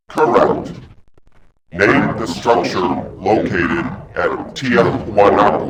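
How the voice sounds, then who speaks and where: A man puts on a character voice with a fairly low pitch. He speaks very slowly with long, frequent pauses. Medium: video game. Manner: terse, suspicious, commanding.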